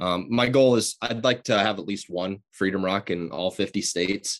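A man with a Midwestern American accent speaks at a moderate pace and a fairly low pitch. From Southwest Iowa. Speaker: muralist. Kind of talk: interview. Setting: video call. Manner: halting.

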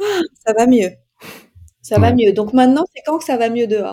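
This woman's voice sits fairly high in pitch yet carries a dark, mellow tone. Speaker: podcast host and life coach. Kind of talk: casual interview chat.

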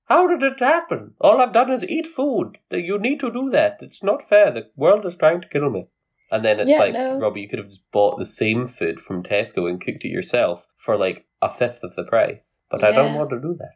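A man with a Scottish accent talks at a moderate pace with hardly any pauses, his loudness swinging widely. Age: young adult, millennial. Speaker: podcast co-host. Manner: animated, self-deprecating, jokey.

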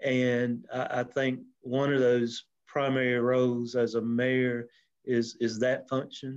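In a South Carolina accent, a man with a medium pitch speaks very slowly in a monotone, flat delivery. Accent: Southern US (South Carolina). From US South, upstate South Carolina (Anderson). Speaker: mayor and insurance agent. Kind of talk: interview. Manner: halting, many fillers.

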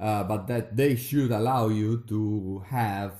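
The voice is dark and mellow, with an Italian accent. Its pace is very slow and its intonation fairly even. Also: man. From Veneto, northeast Italy. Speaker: podcast host, PhD researcher. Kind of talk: casual conversational podcast chat.

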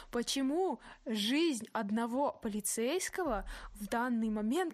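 Lively intonation in a plain, everyday voice, a woman's, fairly high in pitch. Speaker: podcast host. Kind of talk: casual chat. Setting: remote call.

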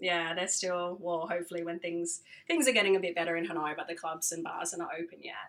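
With a bright, sharp tone, a woman speaks fairly quickly at a fairly low pitch. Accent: Australian. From Australia. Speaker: DJ and radio founder. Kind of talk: casual interview.

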